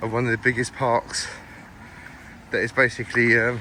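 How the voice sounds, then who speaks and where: His intonation stays flat and monotone. The man's pitch is medium. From East London, England. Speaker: travel vlogger. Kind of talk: walking vlog commentary. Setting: outdoors in a park. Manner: casual, repetitive filler speech; fast.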